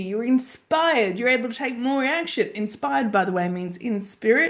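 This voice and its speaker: A woman with a high pitch speaks in an animated tone with lively intonation. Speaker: life coach and mentor. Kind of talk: podcast monologue.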